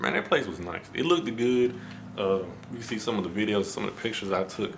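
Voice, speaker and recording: Quiet and fairly low in pitch, a man speaks very fast with a Memphis accent over noticeable background noise. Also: ordinary pitch variation. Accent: Southern US, Memphis. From US South, Memphis, Tennessee. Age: 20s. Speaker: vlogger. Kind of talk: casual vlog talk to camera. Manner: low, quiet.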